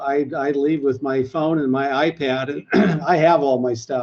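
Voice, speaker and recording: Fairly slow delivery in an ordinary speaking voice, pitch varying in an ordinary way. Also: man. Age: 60s. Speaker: health club owner. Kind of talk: panel discussion.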